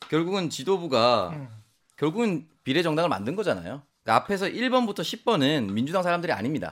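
In a very clean recording with a silent background, a man talks fairly quickly at a high pitch, his voice making very wide pitch swings. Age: young. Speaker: political commentator. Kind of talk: political discussion.

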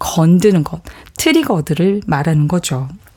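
A woman talks at a medium pitch while noticeable noise carries on in the background. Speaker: psychology professor. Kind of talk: radio talk show discussion. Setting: studio.

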